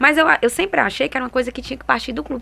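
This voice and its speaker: Her tone bright and sharp with vocal fry, a woman talks at a very fast pace. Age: 30s. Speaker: women's football projects coordinator and fan group president. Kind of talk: interview. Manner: halting.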